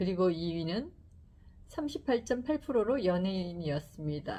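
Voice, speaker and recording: Calm in tone yet lively in intonation, a woman with a somewhat breathy voice and medium pitch speaks at a fairly slow pace. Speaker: YouTuber presenting books. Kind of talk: book talk to camera. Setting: filming a video. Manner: slow, calm speech; stiff, like reading a newspaper.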